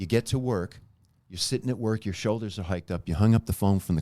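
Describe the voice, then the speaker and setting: In a very clean recording with a silent background, a man with a fairly low pitch and a dark, mellow tone talks at a very fast pace. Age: 60s. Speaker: body movement teacher. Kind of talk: interview. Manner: instructive.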